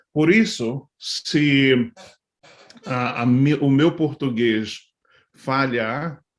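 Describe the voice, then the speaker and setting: A man's medium-pitched voice shows ordinary variation in pitch. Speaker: pastor. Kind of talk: talk to church leaders. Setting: live video stream. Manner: halting, many fillers.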